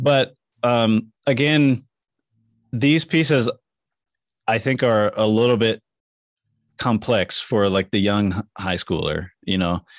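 A man speaks slowly, with long, frequent pauses. His pitch is fairly low, with ordinary pitch variation.

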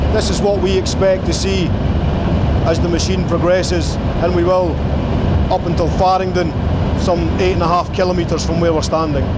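A man talks at a fairly quick pace amid loud background noise. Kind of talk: guided tour explanation. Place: tunnel cave.

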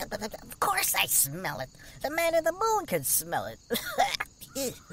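This is a put-on character voice pitched extremely high. It sounds whiny and moves at a very slow pace. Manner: whiny, sarcastic.

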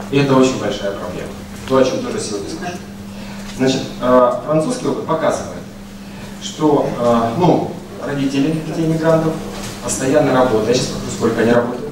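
Pausing long and often, a man talks in a room with audible echo and noticeable background noise. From Russia. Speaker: university researcher, speaker. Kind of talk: conference talk with slides. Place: hall.

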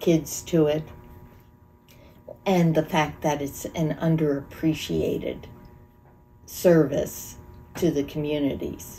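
The pace is very slow and the intonation monotone and flat. Faint music plays in the background. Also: woman. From Monroe County, Pennsylvania, USA; Pennsylvania. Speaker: volunteer EMT; interviewee. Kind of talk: interview answer. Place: home room.

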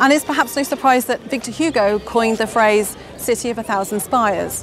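A woman's voice, dry with no echo, over clear music in the background. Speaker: presenter. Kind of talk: presenter piece to camera. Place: street. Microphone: lapel.

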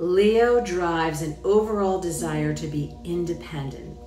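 At a fairly slow pace, a woman speaks in a room with audible echo as faint music plays in the background. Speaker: presenter. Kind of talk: scripted astrology forecast talk. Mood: upbeat, enthusiastic.

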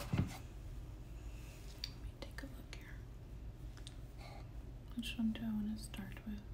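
A woman's very deep, low voice, monotone and flat in intonation, at a fairly slow pace over noticeable background noise. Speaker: ASMR artist. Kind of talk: ASMR show-and-tell talk to viewer. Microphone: phone near.

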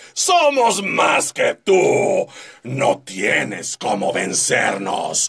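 A man doing a put-on character voice. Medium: tutorial demo. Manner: shouting, aggressive.

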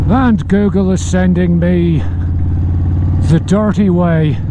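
Noticeable background noise surrounds a man speaking with ordinary pitch variation in a dry sound with no echo. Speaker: motorcycle vlogger. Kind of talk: casual vlog chat. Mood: wry, humorous. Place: motorbike. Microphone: helmet.

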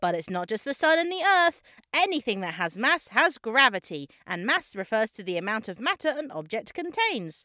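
A cartoonish character voice, fairly high and upbeat, with very wide pitch swings. It moves at a moderate pace with hardly any pauses. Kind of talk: comedic explainer narration. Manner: upbeat, eager.

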